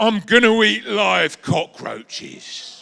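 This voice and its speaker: A man puts on a wheezy character voice pitched high. He speaks at a very slow pace. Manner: creepy.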